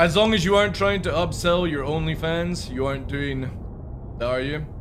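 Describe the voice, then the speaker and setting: A man with a high pitch and ordinary pitch variation, amid noticeable background noise and audible room echo. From Scotland, Midlothian near Edinburgh. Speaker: streamer. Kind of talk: live stream chat. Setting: live stream. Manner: casual, chatty.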